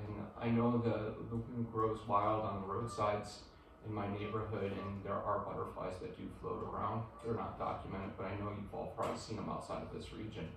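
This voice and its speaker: Amid noticeable background noise and audible room echo, a man speaks at a fairly quick pace in a fairly low, monotone, flat voice. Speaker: guest. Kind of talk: presentation talk. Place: meeting room. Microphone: camera far.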